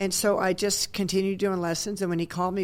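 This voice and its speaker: A woman's voice at medium pitch with an American accent, an unremarkable speaking voice, at a fairly quick pace. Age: 60s. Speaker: retired volleyball coach. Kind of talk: radio interview. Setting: radio studio.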